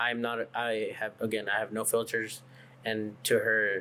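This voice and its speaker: Bright and sharp in tone, a man speaks at a medium pitch. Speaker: coffee shop co-owner. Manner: outgoing, unfiltered.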